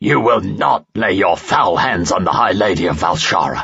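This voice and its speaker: A man growls in a put-on character voice at a very deep, low pitch. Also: moderate pace. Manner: growling.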